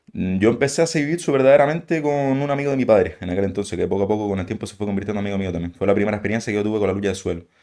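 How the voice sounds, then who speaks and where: The voice has a dark, mellow tone and lively intonation, moving at a very fast pace with hardly any pauses. The background is quiet. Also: man, fairly low pitch for a man. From Canary Islands, Spain (Gáldar, Gran Canaria). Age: 20s. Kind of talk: podcast interview. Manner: casual.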